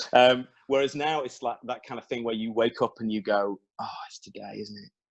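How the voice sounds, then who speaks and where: Someone with an English accent speaks at a fairly quick pace with ordinary pitch variation, in a dry, close sound with no echo. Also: man. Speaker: songwriter. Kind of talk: interview conversation. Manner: animated.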